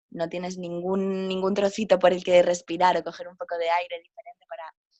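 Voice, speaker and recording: A woman at medium pitch and moderate pace talks in an ordinary speaking voice. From Spain, Galicia (A Coruña). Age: 20s. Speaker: travel writer and yoga teacher. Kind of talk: interview.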